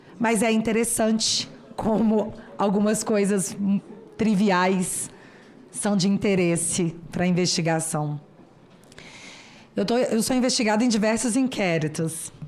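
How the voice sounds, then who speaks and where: At a very slow pace with long, frequent pauses, a woman keeps very even loudness, medium pitch, and ordinary pitch variation. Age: 30s. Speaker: political YouTuber. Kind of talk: formal speech to a parliamentary committee. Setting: senate committee hearing.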